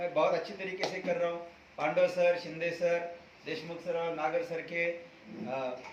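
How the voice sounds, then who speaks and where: A man speaks with a high pitch. The room echo is audible, and there is noticeable background noise. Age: 60s. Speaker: network marketing member, dietitian. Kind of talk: testimony.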